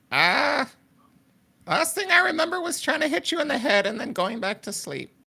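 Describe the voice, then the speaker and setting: In a put-on character voice, the speaker uses a high pitch at a moderate pace. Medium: actual play. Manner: bewildered, offhand.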